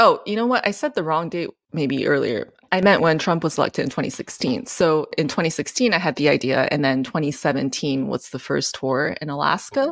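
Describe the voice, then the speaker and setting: A woman with a very deep, low pitch talks at a fairly quick pace using lively intonation. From Japan. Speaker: classical pianist. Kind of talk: interview.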